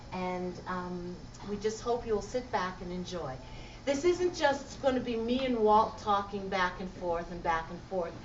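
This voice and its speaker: A woman's fairly slow, lively-toned speech with big swings in loudness, audible room echo and noticeable background noise. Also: medium pitch for a woman. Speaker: conversation host. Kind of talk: public conversation. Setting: library event with audience.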